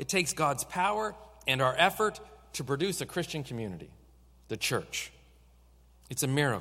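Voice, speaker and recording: The voice has a bright, sharp tone with vocal fry. Its pitch swings very widely. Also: man. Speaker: pastor. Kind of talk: sermon. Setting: church. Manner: fast.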